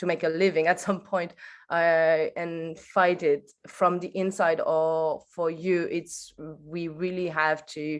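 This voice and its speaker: Fairly slow, low-pitched speech from a woman with a French accent, monotone, flat intonation and a quiet background. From France. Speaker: audience member asking a question. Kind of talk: Q&A question at an online workshop. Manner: halting, hesitant.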